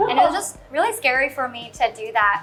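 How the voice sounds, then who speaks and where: There is noticeable background noise behind a woman's high-pitched voice. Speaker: content creator. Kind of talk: panel discussion. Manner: soft-spoken.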